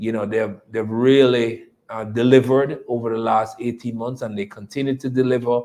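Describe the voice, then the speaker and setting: A man with a Jamaican accent, medium in pitch, monotone and flat, at a moderate pace. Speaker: company executive. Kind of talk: investor presentation. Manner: repetitive, hesitant.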